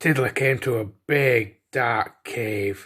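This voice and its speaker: The man's pitch is medium. It varies in an ordinary way. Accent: Yorkshire. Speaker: storyteller. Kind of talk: children's bedtime story reading.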